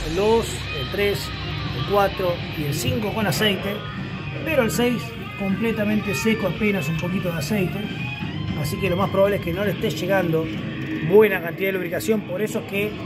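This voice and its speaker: A man speaks with ordinary pitch variation and long, frequent pauses. Loud music plays in the background. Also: moderate pace. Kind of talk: tutorial. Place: workshop. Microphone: phone near.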